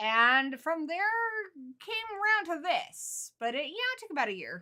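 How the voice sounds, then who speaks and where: In an American accent, a woman speaks at a moderate pace with an extremely high pitch and a bright, sharp tone. Her raised, projected voice shows very wide pitch swings and big swings in loudness. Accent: American, learned as a child. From England, Suffolk (Ipswich). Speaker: horror YouTuber. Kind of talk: casual live-stream chat.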